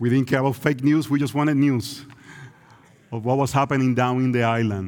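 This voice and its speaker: A man with a Puerto Rican accent, medium pitch and fairly even intonation. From Puerto Rico. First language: Spanish. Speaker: visiting preacher. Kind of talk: sermon. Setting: church.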